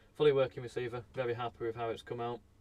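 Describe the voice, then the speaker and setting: Mumbling at a fairly quick pace, a man of medium pitch talks in a monotone, flat intonation. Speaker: electronics repair streamer. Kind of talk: live stream commentary. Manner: casual, hesitant with fillers.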